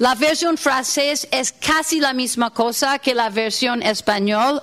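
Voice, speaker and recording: A woman's high-pitched voice with a non-native accent at a very slow pace, ordinary pitch variation and noticeable background noise. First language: not Spanish (speaking Spanish). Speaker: workshop facilitator. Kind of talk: workshop lecture. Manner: halting, many fillers.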